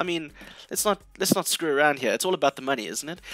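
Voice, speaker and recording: A man talks with a bright, sharp tone. Vocal fry runs through his voice. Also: dry, close sound with no echo. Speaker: tech reviewer. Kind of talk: casual video review.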